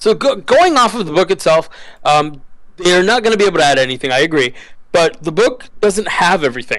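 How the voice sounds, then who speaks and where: A man's high voice, with very wide pitch swings, very even loudness and a fairly quick pace. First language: not English. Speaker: podcast co-host. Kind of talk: casual chat. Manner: halting.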